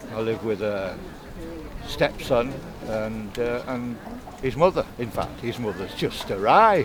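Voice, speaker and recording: Over noticeable background noise, a man speaks at a medium pitch and a fairly slow pace, leaving long, frequent pauses. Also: ordinary pitch variation. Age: 70s. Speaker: local voter. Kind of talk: casual chat. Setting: outdoor market. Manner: halting.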